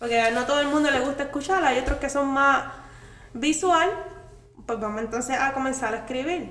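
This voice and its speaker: A woman talks at a fairly quick pace in a high pitch with ordinary pitch variation, leaving long, frequent pauses. Audible room echo surrounds her voice. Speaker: podcast guest, content creator. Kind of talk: casual chat.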